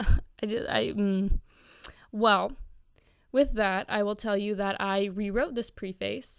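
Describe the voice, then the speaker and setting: A woman's unremarkable speaking voice, medium in pitch, at a fairly slow pace. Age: young. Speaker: literary critic vlogger. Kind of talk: casual commentary.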